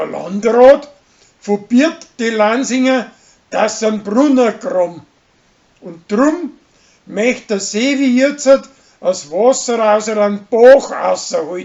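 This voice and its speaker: A man with a Bavarian accent speaks at an extremely high pitch with ordinary pitch variation. His pace is very slow, broken by long, frequent pauses. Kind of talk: weekly TV series episode summary.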